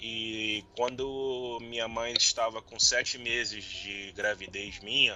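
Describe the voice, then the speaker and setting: A man at a medium pitch speaks very slowly in a flat monotone, with big swings in loudness. Noticeable background noise runs under his voice. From Rio de Janeiro, Brazil. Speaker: podcast guest, football fan. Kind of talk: casual interview. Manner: halting.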